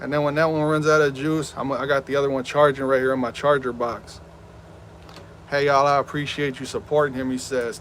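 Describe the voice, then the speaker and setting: Noticeable background noise sits behind this man. He speaks fairly quickly in a fairly high voice. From Southern California. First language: Spanish. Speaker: gaming streamer. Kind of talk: live stream chat. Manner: animated.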